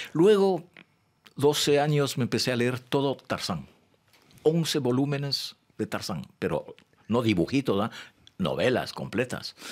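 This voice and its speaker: Over a quiet background, a man speaks at a fairly slow pace with vocal fry. He leaves long, frequent pauses. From Ecuador, Quito; Ecuador. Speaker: poet. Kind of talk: interview. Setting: studio. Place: studio. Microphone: studio mic.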